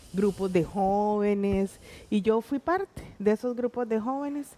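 In a dark, mellow tone, a woman speaks at a very slow pace. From Costa Rica, Puntarenas; Costa Rica. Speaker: teacher and stage actress; teacher, stage actress. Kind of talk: interview. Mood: warm, animated storytelling. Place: studio. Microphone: headset.

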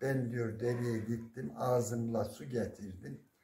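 A man with a medium pitch speaks at a very slow pace, with vocal fry. The background is quiet. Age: 70s. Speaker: retired primary school teacher. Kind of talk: folk storytelling. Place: home room. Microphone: phone near.

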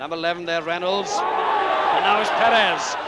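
A man speaks in a raised, projected voice. Noticeable background noise is present. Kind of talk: live sports commentary, rugby match broadcast. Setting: outdoors at a rainy stadium, archive broadcast. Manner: fast, clipped, excitable play-by-play, rattling off player names; dry, opinionated, slightly sardonic asides.

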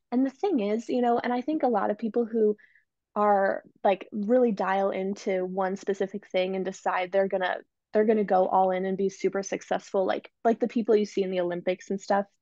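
A woman speaks fairly quickly at a medium pitch, her dark, mellow tone held in fairly even intonation. The sound is dry with no echo, over a quiet background. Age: 20s. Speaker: entrepreneur and business coach; business coach. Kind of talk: interview podcast. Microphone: earbuds.

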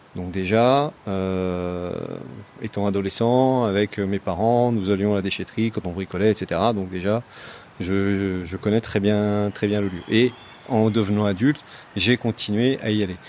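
Speaking at a fairly slow pace, a man with a fairly low pitch keeps his intonation fairly even. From Saône-et-Loire, Burgundy, France. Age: 40s. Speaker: project manager and citizen investor. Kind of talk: interview testimony. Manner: halting, many repetitions.

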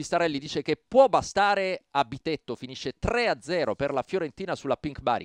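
A normal speaking voice, this man's fairly high pitch carries lively intonation at a moderate pace with hardly any pauses, in a dry, close sound with no echo. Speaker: match commentator. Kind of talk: live sports commentary.

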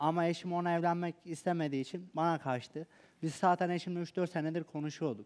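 This man's voice sits high in pitch, with fairly even intonation. He talks at a fairly quick pace. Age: 20s. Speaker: reality show participant; guest. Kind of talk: emotional testimony. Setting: TV studio. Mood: aggrieved, defensive, emotional. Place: studio. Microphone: headset.

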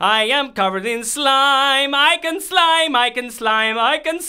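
The pace is fairly slow. The pitch sits high. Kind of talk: comic overacting. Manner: flamboyant, theatrical.

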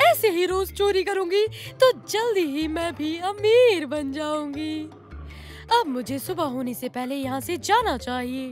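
A female-sounding, cartoonish character voice has a high pitch and a fairly slow pace. Clear music plays in the background. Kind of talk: cartoon voice acting.

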